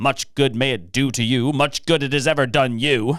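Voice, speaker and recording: A man puts on a growling character voice at medium pitch with fairly even intonation. He speaks at a moderate pace on a very clean recording with a silent background. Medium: read story. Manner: curt and scornful.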